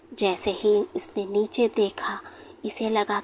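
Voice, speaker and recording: A woman talks at a fairly high pitch amid noticeable background noise. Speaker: horror story narrator. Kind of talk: horror story narration.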